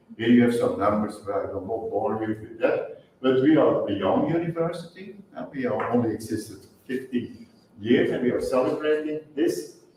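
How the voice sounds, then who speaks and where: Noticeable background noise sits behind the recording. A man talks at a moderate pace. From Flanders, Belgium. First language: Dutch. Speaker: university policy advisor and chemistry lecturer. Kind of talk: lecture. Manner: halting.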